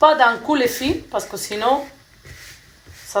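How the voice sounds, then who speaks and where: Amid audible room echo, a woman with a non-native accent talks at a fairly high pitch with ordinary pitch variation. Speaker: cooking vlogger. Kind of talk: cooking tutorial. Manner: hesitant, many fillers.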